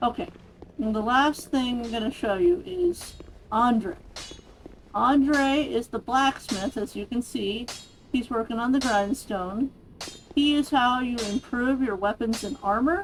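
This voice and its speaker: A woman speaks at a high pitch with ordinary pitch variation and a fairly slow pace. Her long, frequent pauses sit over noticeable background noise. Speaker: gaming video creator. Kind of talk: let's play commentary. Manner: casual, conversational.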